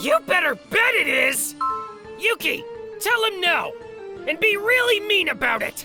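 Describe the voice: With faint music in the background, a woman speaks slowly in a cartoonish character voice, bright and sharp in tone, at an extremely high pitch with big pitch swings.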